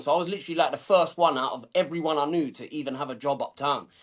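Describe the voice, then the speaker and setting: With a high pitch and ordinary pitch variation, a man talks at a very fast pace. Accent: South London. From southeast London, England. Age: 30s. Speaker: suit business owner. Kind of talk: podcast interview. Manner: casual, colloquial.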